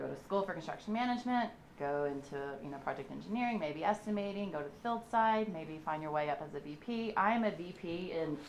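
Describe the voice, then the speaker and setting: This woman talks at a fairly quick pace with a Southern US accent. Her intonation is lively, and room echo is audible. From US South, Memphis, Tennessee. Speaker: construction executive. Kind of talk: guest lecture.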